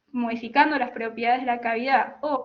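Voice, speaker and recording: A woman at a moderate pace, her intonation fairly even. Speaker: telecommunications engineer. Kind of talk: technical talk. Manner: halting, with false starts.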